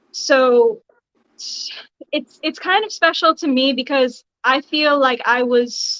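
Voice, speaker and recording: A woman speaks fairly slowly at a high pitch with ordinary pitch variation. The sound is dry and close, with no echo. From Bahamas. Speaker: cosplayer. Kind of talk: casual chat.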